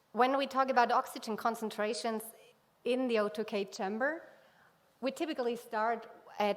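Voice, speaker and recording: A woman with a fairly high pitch speaks at a moderate pace with ordinary pitch variation, leaving long, frequent pauses. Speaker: scientist. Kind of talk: conference talk. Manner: halting.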